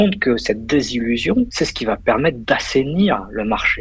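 A man's lively intonation comes through at a fairly slow pace, with noticeable background noise behind him. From Paris region, France. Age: 30s. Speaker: investor and finance professional. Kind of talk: casual interview. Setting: WhatsApp call from office.

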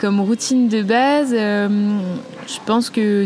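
Ordinary pitch movement from a woman, with noticeable noise behind her. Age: 20s. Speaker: offshore sailor. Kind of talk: interview. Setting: studio. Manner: hesitant.

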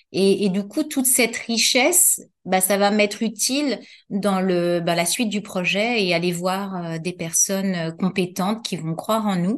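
An ordinary speaking voice at a fairly slow pace, with ordinary pitch variation, over a quiet background. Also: woman, medium pitch for a woman. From Paris, France. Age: 50s. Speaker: entrepreneur, former occupational health nurse. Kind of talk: interview.

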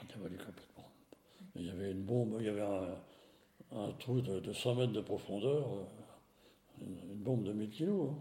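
Audible room echo surrounds a man's somewhat breathy, dark, mellow voice as he speaks at a moderate pace with long, frequent pauses. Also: fairly low pitch for a man, ordinary pitch variation. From France, Nevers. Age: 80s+. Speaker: retired engineer. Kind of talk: testimony. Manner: halting.

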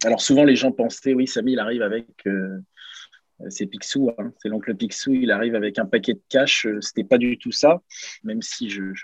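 A man's plain, everyday voice at a medium pitch, with ordinary pitch variation, a moderate pace, big swings in loudness, and a dry, close sound with no echo. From Normandy, France (Caen), then Lens area from 14. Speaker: former pro footballer, daycare entrepreneur. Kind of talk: interview.

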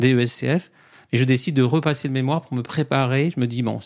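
A man talks at a fairly slow pace with ordinary pitch variation. His voice sits at a medium pitch. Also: very clean recording, silent background. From Paris region, France. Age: 40s. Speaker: accountant and coach. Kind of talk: podcast interview. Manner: halting, many fillers.

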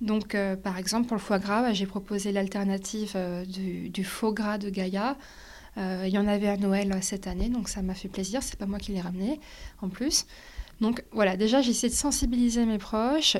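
A woman's medium-pitched voice moves at a moderate pace with fairly even intonation. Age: 20s. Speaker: sustainability entrepreneur. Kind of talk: interview. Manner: halting.

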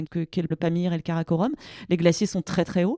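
On a very clean recording with a silent background, a woman speaks at a fairly low pitch in a dark, mellow tone. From France, Grenoble (Alps). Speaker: glaciologist. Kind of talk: interview. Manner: halting with many fillers.

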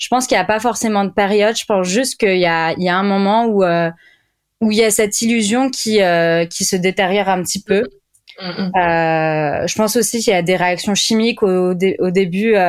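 Fairly even intonation at a moderate pace. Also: woman, medium pitch for a woman. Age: 20s. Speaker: clinical psychologist. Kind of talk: casual interview. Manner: hesitant, many fillers.

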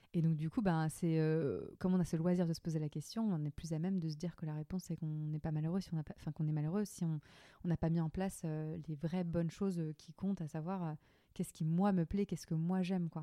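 A woman speaks very fast in a monotone, flat intonation at a fairly low pitch. Her tone is dark and mellow, with a dry, close sound and no echo. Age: 20s. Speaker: entrepreneur. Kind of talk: casual interview about burnout.

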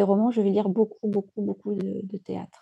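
Dry and close with no echo, this recording captures a woman speaking at a moderate pace. Her pitch is medium and her tone dark and mellow. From Djibouti. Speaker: novelist. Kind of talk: interview. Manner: halting. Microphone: crackling sound at times.

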